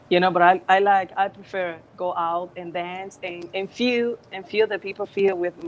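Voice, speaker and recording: Monotone, flat delivery in a Spanish accent, with hardly any pauses and big swings in loudness. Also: woman, medium pitch for a woman, moderate pace. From Dominican Republic, Puerto Plata. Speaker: singer. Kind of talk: interview. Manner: halting.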